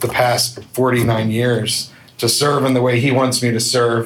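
Very slowly and in a monotone, flat voice, a man speaks amid noticeable background noise and audible room echo. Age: 50s. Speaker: youth minister. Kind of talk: testimony. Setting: men's breakfast event with audience.

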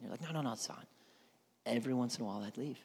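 A man talks with a Southern US accent. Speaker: pastor. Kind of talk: sermon. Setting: church. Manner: animated.

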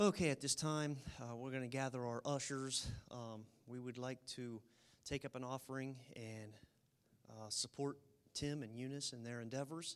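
The speech moves at a moderate pace with fairly even intonation. Long pauses come often. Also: man, medium pitch for a man. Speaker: church leader. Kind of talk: prayer. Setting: church.

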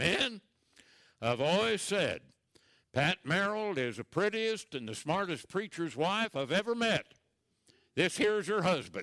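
A man's gruff, put-on character voice at a high pitch, with very wide pitch swings, a fairly slow pace and long, frequent pauses, on a very clean recording with a silent background. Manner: blunt, teasing.

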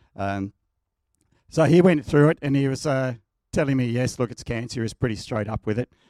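An Australian accent with lively intonation at a fairly quick pace, in a dry, close sound with no echo. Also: man. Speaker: church member sharing testimony. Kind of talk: testimony. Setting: church.

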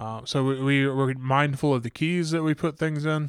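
The speaker is a man with a medium pitch. He keeps a flat, monotone intonation. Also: very clean recording, silent background. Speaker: pastor. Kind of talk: casual discussion.

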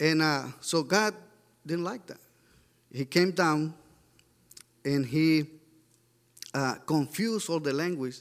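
A man in a Mexican accent at a very slow pace, fairly high in pitch with ordinary pitch variation and long, frequent pauses. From Mexico. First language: Spanish. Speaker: church member sharing a mission report. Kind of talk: sermon. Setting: church. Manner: halting.

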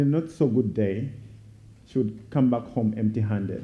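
The man's voice is somewhat breathy. He goes at a moderate pace with ordinary pitch variation. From Uganda. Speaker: guest speaker for a child sponsorship charity. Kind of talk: sermon; testimony. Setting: church.

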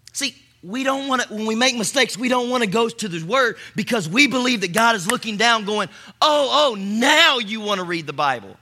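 A man talks fairly quickly in a high, bright, sharp voice with lively intonation. He raises and projects his voice. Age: 40s. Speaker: pastor. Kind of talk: sermon. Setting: church stage with audience. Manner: animated.

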